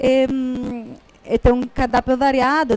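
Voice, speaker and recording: A woman's fairly high, dark, mellow voice in a dry, close sound with no echo. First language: Italian (speaking Portuguese). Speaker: restaurant manager. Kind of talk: event introduction. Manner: halting.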